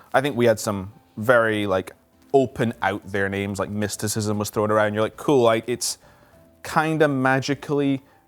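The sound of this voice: Faint music plays behind a man talking at a moderate pace, his fairly low pitch showing ordinary variation.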